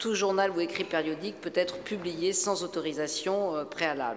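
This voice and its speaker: Audible echo from the room, plus noticeable noise in the background. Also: woman. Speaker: media regulator, former TV news presenter. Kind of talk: conference talk. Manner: hesitant.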